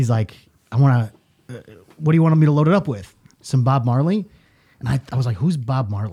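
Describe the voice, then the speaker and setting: Pausing long and often, a man with a medium pitch speaks at a fairly quick pace in a dark, mellow, somewhat breathy tone with lively intonation. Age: 30s. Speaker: podcast co-host. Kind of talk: casual chat. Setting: studio.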